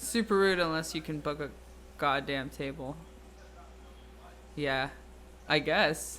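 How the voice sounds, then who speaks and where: The pace is fairly slow. Long pauses come often. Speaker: streamer and podcast host. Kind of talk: casual live stream chat. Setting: live stream. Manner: loud; animated.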